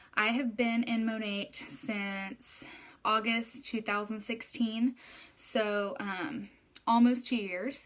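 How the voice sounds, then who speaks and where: Delivered at a very slow pace with fairly even intonation, this voice carries an Oklahoma accent. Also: woman, fairly high pitch for a woman. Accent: Oklahoman. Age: 20s. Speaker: hairstylist turned direct-sales marketer. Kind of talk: casual live video talk.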